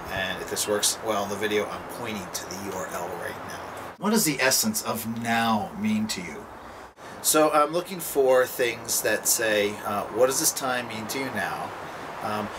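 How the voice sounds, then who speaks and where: Fairly slow male speech over noticeable background noise. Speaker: project creator. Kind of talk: casual vlog chat. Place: home room.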